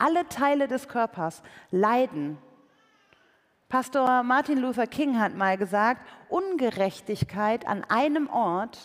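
A woman speaks at a very slow pace in a warm tone, fairly high in pitch, with very wide pitch swings. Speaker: preacher and author. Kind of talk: sermon in church. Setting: church with live audience. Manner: conversational, warm, earnest; light humor, engaging.

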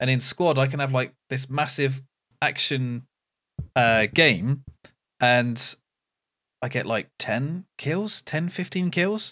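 Over a dry, close sound with no echo, a man at a medium pitch talks at a very slow pace with lively intonation and long, frequent pauses. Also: very clean recording, silent background. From Britain. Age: 30s. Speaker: gaming podcast co-host. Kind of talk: casual chat.

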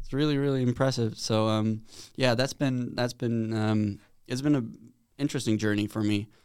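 A man speaks at a moderate pace with a Swedish accent, his pitch medium. The recording is very clean, with a silent background. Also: fairly even intonation. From Sweden. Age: 20s. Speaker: college tennis player. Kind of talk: casual interview.

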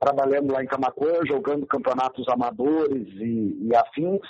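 This man has a fairly high pitch and a plain, everyday voice. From Rio Grande do Sul, Brazil (Camaquã). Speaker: retired football player and coach. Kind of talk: interview. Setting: phone call.

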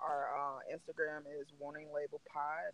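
Bright and sharp in tone, the voice carries a Southern US accent and monotone, flat intonation in a dry, close sound with no echo. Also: man. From US South. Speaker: podcast host. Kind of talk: casual chat.

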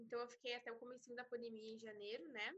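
Raised and projected, a woman's high voice carries a bright, sharp tone at a fairly quick pace. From Brazil. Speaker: university student and traveler. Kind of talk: casual chat.

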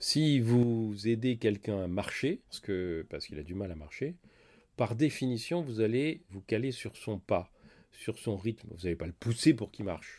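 A man with an unremarkable speaking voice talks at a medium pitch and a fairly slow pace, with lively intonation. His loudness swings widely on a very clean recording with a silent background. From France. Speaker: doctor and writer. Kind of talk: interview.

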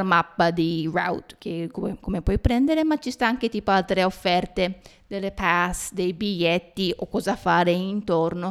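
Recorded very cleanly against a silent background, a woman speaks at a fairly slow pace with a medium pitch and ordinary pitch variation. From Japan. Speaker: podcast host. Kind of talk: casual chat. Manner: halting.

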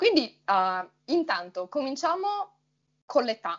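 A woman speaks at a very slow pace in a high pitch. Her voice moves through very wide pitch swings. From Friuli Venezia Giulia, Italy. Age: 20s. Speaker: Italian teacher, podcast co-host. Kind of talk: casual conversation.

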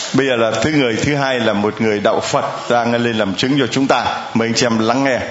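Amid noticeable background noise, a man with a medium pitch talks at a fairly quick pace with hardly any pauses. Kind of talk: sermon. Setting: church with large congregation. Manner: animated.

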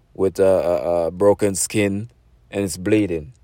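A man with a Jamaican accent, fairly low pitch, fairly even intonation and a dark, mellow tone, on a very clean recording with a silent background. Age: 40s. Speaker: podcaster telling personal stories. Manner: rambling, conversational with many fillers and self-corrections.

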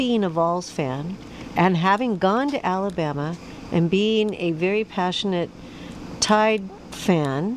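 Noticeable background noise sits behind a woman who speaks at a medium pitch and fairly slow pace with lively intonation. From US West Coast. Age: 60s. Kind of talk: casual radio chat and interview. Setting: radio studio.

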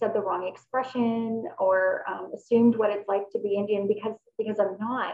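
This woman has an unremarkable speaking voice, fairly high in pitch, with a Canadian accent. She talks at a moderate pace. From Canada. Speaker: podcast interviewer, life coach. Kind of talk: interview.

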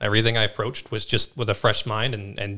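A man's voice has a bright, sharp tone. The recording is very clean, with a silent background. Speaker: new podcast co-host. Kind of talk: casual conversational podcast chat. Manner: relaxed, casual.

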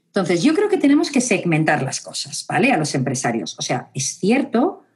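A woman speaks with a Spanish accent. Her voice is somewhat breathy and her pace fairly quick. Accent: Spanish (Spain). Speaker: psychologist and university lecturer. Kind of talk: interview conversation.

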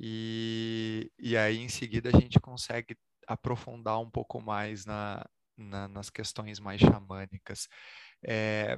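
A man's fairly low-pitched voice, dry and close with no echo. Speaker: spirituality podcast host. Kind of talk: interview conversation.

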